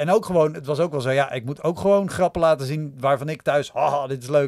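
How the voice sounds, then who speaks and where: With a quiet background, a man talks at a very fast pace in a fairly high pitch, showing ordinary pitch variation. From Netherlands. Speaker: stand-up comedian and podcaster; podcast guest, comedian. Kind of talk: casual chat. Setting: studio. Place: home room. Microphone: studio mic.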